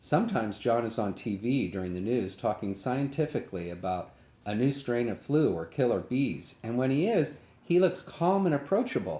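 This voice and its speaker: A man with an American accent speaks at a moderate pace, his medium-pitched voice dark and mellow in tone and swinging very widely in pitch. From US Midwest / California. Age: 60s. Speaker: author. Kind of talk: reading aloud. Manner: playful.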